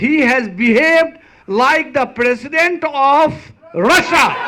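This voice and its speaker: Over noticeable background noise, a man speaks fairly slowly in a raised, projected voice. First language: not English. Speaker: rally speaker. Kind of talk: rally speech.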